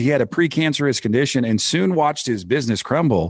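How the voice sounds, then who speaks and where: Over a quiet background, a man with a fairly high pitch talks at a fairly quick pace, using very wide pitch swings and vocal fry. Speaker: podcast host. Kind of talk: podcast interview; scripted show intro. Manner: well-modulated cadence.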